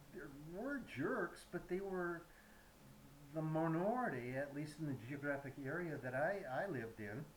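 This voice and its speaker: With audible room echo and noticeable background noise, a man speaks in a fairly high pitch with lively intonation. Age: 70s. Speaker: YouTube commentator. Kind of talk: prepared monologue. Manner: halting.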